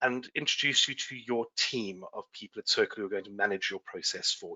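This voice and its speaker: Here a man is speaking. He has a British accent. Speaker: surrogacy agency outreach associate. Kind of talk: webinar presentation.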